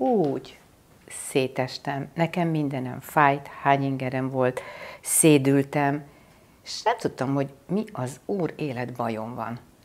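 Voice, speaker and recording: A woman's very deep, low voice, with ordinary pitch variation and a very slow pace. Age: 60s. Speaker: spiritual teacher. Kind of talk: spiritual talk. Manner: hesitant, with many filler sounds.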